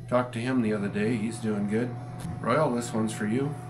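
Noticeable background noise runs under a man whose intonation stays fairly even. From South Dakota. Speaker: farmer and rancher. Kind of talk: casual chat. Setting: outdoors on the farm. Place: office. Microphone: camera far.

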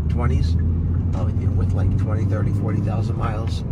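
A man's voice over loud background noise. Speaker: car reviewer. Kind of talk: casual car review commentary. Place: car.

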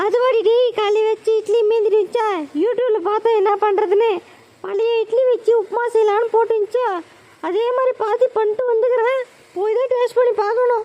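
A woman's cartoonish character voice, extremely high and monotone, at a moderate pace with very even loudness. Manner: bossy, scolding.

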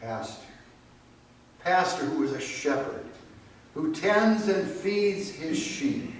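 Very slow and broken by long, frequent pauses, a man's high voice makes very wide pitch swings, with audible room echo and light background noise. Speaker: pastor. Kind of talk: liturgy and prayer. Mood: solemn, calm. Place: church. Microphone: camera far.

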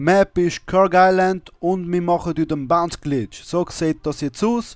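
Speaking fairly slowly in a Swiss accent, a man with a high pitch keeps a fairly even intonation, the sound dry and close with no echo. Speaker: video gamer. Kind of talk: gameplay tutorial commentary. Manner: casual.

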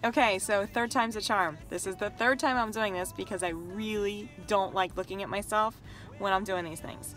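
Dry sound with no echo and faint music in the background. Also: woman. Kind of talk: heartfelt personal message. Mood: warm, grateful, slightly self-conscious. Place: car. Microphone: phone near.

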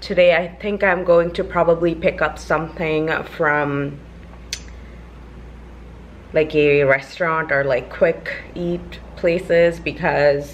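Light background noise sits behind a woman's voice. Her pitch is very deep and low, with fairly even intonation. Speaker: vlogger. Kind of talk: casual vlog chat. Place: home room.

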